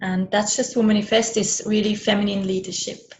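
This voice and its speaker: The speaker has a German-speaking European accent and a fairly quick pace. The intonation stays monotone and flat. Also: woman. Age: 40s. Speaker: business and money coach, author. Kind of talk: interview.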